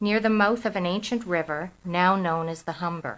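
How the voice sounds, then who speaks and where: A woman's normal speaking voice at medium pitch, with lively intonation and a moderate pace. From Toronto, Canada. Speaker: author. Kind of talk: reading aloud.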